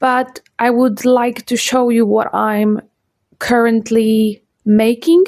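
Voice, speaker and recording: A woman's fairly high voice at a very slow pace, with very even loudness and fairly even intonation. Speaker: sewing and knitting vlogger. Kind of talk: casual chat. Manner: halting.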